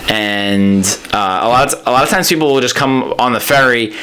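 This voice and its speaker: The speech moves at a fairly quick pace. Noticeable background noise and audible room echo surround it. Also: man. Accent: New York. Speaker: stand-up comedian. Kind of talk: casual chat. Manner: halting.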